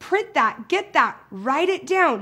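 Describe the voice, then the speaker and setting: A loud woman's voice. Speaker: social media trainer and speaker. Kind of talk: training video. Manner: loud, high energy; animated.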